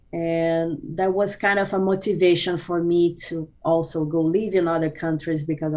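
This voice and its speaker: This woman speaks in a fairly low pitch with a monotone, flat intonation. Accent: Portuguese. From Brazil. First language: Portuguese. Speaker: business consultant. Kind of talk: interview. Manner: halting, many fillers.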